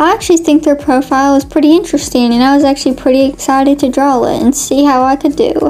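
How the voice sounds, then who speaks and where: With music in the background, a woman speaks at a very fast pace in a high pitch, with fairly even intonation, very even loudness and hardly any pauses. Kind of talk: casual voiceover narration of a drawing video. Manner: chatty, informal.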